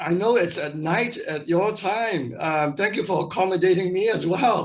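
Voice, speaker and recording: A man speaks in a high pitch, with ordinary pitch variation. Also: moderate pace. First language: not English. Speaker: missionary. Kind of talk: interview. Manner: halting.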